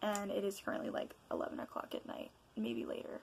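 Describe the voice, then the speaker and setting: A quiet woman speaks with lively intonation. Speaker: vlogger. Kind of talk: casual chat. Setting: home at night. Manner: loud and excited.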